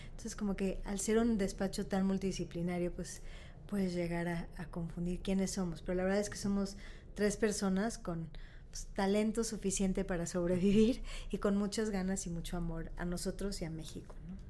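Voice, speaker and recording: In a room with audible echo, a woman with a dark, mellow tone and medium pitch speaks in a flat monotone at a moderate pace. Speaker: architect and design event founder. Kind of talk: casual interview.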